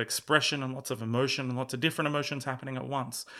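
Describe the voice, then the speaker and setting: A man with an Australian accent talks at a medium pitch in a monotone, flat delivery. The recording is very clean, with a silent background. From rural Australia. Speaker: musician and former music journalist. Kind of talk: casual chat.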